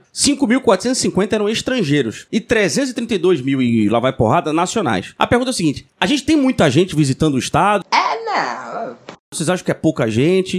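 The speech keeps a moderate pace and very even loudness while the pitch swings very widely. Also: man. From Brazil, Pernambuco (Recife/Olinda). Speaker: podcast host. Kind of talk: casual chat.

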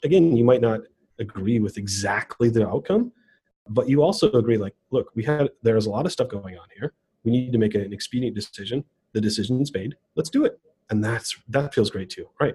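At a fairly quick pace, a man speaks with a dark, mellow, somewhat breathy tone at medium pitch with ordinary pitch variation, his loudness swinging widely in a dry, close sound with no echo. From US Midwest, southeast Wisconsin (Racine). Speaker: tech executive, developer relations director. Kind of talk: casual interview.

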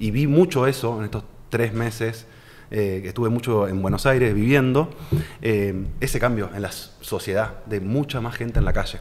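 The speaker has a Rioplatense accent and talks at a moderate pace. Pitch variation is ordinary. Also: man, medium pitch for a man. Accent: Argentine Spanish (rioplatense, voseo). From Argentina, Santa Fe city. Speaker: financial advisor. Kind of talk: casual interview.

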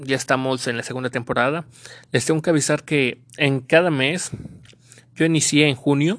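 With a very deep, low voice and fairly even intonation, a woman speaks at a moderate pace with long, frequent pauses. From Mexico. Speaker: podcast host. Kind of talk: casual solo podcast monologue. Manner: loud.

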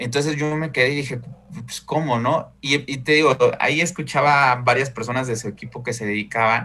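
A man speaks at medium pitch with fairly even intonation. His tone is bright and sharp. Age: 30s. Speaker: insurance broker. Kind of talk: casual interview.

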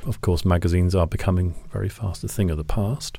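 A man's dark, mellow, somewhat breathy voice with a British accent, moderate pace, and ordinary pitch variation. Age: 50s. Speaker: photographer. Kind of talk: interview.

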